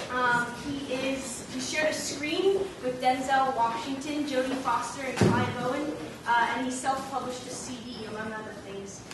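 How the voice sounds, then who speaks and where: There is noticeable background noise as a woman speaks. Her voice is high in pitch and swings a lot in loudness. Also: ordinary pitch variation, moderate pace. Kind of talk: event speaker introduction.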